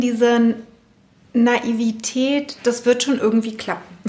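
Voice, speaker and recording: High-pitched female voice against noticeable background noise. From West Berlin (Spandau). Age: 40s. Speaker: personal trainer. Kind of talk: interview. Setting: basement of her studio.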